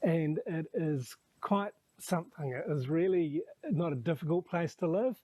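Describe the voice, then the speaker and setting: A relaxed man with a New Zealand accent talks at a fairly slow pace, his high-pitched voice dark and mellow in tone. The pitch moves in an ordinary way, and the sound is dry and close with no echo. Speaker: expat vlogger and homestay owner. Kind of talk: casual vlog talk to camera.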